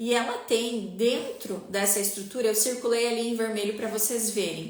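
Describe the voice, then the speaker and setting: Amid noticeable background noise and audible room echo, a woman speaks at a moderate pace in a fairly high pitch with ordinary pitch variation. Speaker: spiritual teacher. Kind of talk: online live class. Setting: live stream.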